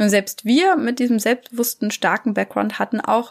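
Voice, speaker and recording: A woman with a plain, everyday voice speaks at a fairly quick pace with ordinary pitch variation on a very clean recording with a silent background. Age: 30s. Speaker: parenting coach. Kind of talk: solo podcast monologue.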